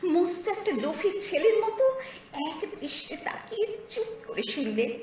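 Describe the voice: Lively intonation over plain reading aloud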